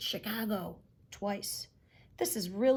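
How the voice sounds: This is a natural reading voice with ordinary pitch variation.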